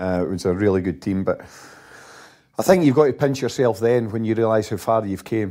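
In a Scottish accent, a man speaks at a fairly quick pace with a dark, mellow tone, fairly low pitch and ordinary pitch variation. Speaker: retired footballer. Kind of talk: casual chat.

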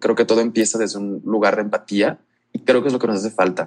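A man talks at a very fast pace. His medium-pitched voice holds fairly even intonation. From Mexico, La Paz, Baja California Sur. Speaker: LGBTQ+ youth advocate. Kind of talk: interview.

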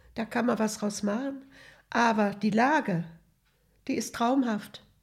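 A woman with a fairly high pitch speaks at a fairly slow pace in a somewhat breathy voice. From Hesse, Germany. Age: 80s+. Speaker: retiree telling her life story. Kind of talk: life story interview. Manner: halting.

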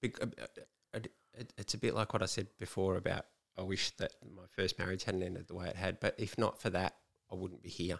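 Very deep, low male voice in an Australian accent, fairly quick, with fairly even intonation. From Melbourne, Australia. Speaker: author, former prisoner. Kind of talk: interview.

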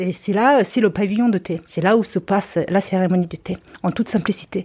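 Moving at a moderate pace, the voice has a dark, mellow tone and ordinary pitch variation. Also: woman. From Mongolia. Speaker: travel photographer and author. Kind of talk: casual chat. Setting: at home. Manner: halting.

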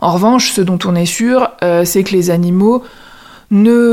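Her voice is a plain, everyday voice, medium in pitch for a woman, with fairly even intonation. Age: 30s. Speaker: lawyer retraining in HR. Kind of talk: casual interview conversation.

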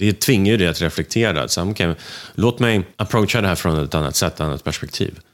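A man speaks at a fairly quick pace in a very deep, low voice, his loudness staying very even. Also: ordinary pitch variation, very clean recording, silent background. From Sweden, Russian family. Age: young. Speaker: entrepreneur, motorcycle designer. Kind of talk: interview.

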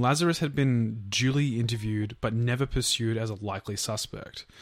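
Speaking at a moderate pace with an Australian accent, a man uses a medium pitch and ordinary pitch variation. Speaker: podcast co-host. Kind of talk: true crime storytelling.

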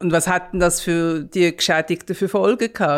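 A woman talks with a Swiss accent. The recording is very clean, with a silent background. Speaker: podcast host, journalist. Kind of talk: conversational storytelling.

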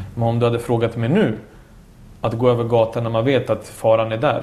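A somewhat breathy voice at a fairly quick pace with monotone, flat intonation. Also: man. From Bosnia (Sarajevo), moved to Sweden at 10. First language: Bosnian/Serbian (speaking Swedish). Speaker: former footballer and coach. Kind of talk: casual chat. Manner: talkative.

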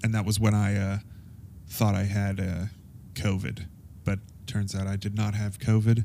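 Monotone and flat, the dark, mellow voice keeps a moderate pace broken by long, frequent pauses. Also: man, fairly low pitch for a man. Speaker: podcast host. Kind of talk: casual monologue. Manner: rambling with many fillers.

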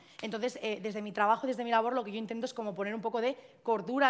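A woman talks at a very fast pace in a fairly high pitch. Her pitch varies in an ordinary way. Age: 20s. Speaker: content creator and activist against fatphobia. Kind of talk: live podcast panel talk. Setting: live recording with audience.

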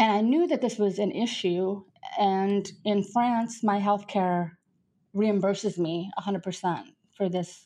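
A woman speaks at a medium pitch with ordinary pitch variation, an unremarkable speaking voice. The background is quiet. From US Midwest, South Dakota farm. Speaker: hearing loss speaker. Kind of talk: interview conversation.

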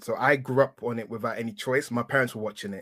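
A man with an English accent talks at a very fast pace and a medium pitch, with fairly even intonation. The recording is very clean, with a silent background. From England. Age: 30s. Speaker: wrestling podcaster. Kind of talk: casual chat.

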